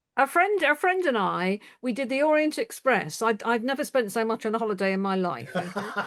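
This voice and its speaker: With hardly any pauses, a woman speaks at a fairly high pitch with very wide pitch swings in a very clean recording with a silent background. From Cornwall, West Country, England. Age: 70s. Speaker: retired civil servant. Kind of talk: casual chat. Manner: hesitant, many fillers.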